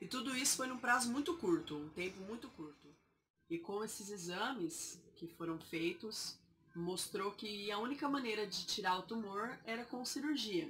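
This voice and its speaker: Lively intonation from a woman at a medium pitch and moderate pace. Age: 20s. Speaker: vlogger sharing health story. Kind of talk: personal testimony. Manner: halting.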